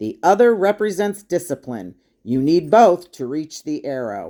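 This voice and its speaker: A woman's put-on character voice, very deep and low, with very wide pitch swings and big swings in loudness. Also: moderate pace. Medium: read story. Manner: firm, authoritative.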